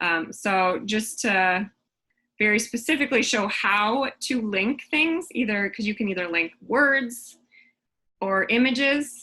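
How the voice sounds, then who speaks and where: A woman talks with a bright, sharp tone at medium pitch and ordinary pitch variation. The background is quiet. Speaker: teacher presenting a training workshop. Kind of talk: tutorial. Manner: hesitant, many fillers.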